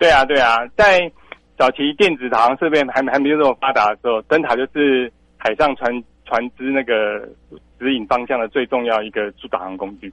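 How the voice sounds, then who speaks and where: Recorded with a dry, close sound and no echo, a man with a Taiwanese accent speaks at a fairly quick pace, with medium pitch and ordinary pitch variation. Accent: Taiwanese Mandarin. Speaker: lighthouse director. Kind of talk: radio interview.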